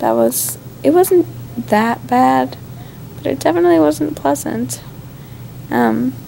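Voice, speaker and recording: This woman's pitch is very deep and low, with ordinary variation. Light background noise runs underneath. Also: fairly slow pace. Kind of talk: casual vlog chat. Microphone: phone near.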